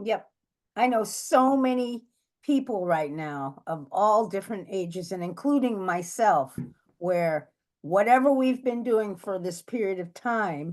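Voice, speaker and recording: A woman has an ordinary speaking voice at a medium pitch, with lively intonation. She talks at a fairly slow pace over a quiet background. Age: 60s. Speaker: astrologer. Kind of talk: casual chat.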